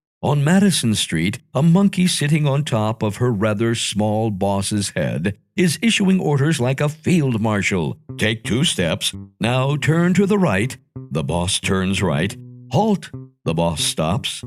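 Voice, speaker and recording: Music plays in the background as a man talks at a very slow pace. His medium-pitched voice makes very wide pitch swings. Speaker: audiobook narrator. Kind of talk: children's audiobook reading.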